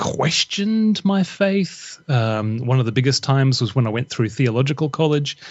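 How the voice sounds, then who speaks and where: This man speaks with an Australian accent. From Australia, Brisbane. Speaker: author and former radio broadcaster. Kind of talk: podcast interview.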